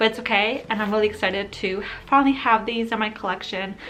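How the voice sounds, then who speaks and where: The speaker has an American accent and talks fairly quickly with fairly even intonation. Background noise is noticeable. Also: woman. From Ukrainian family, raised in the US. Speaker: book vlogger. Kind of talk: casual vlog, book haul. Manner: casual, filler-heavy.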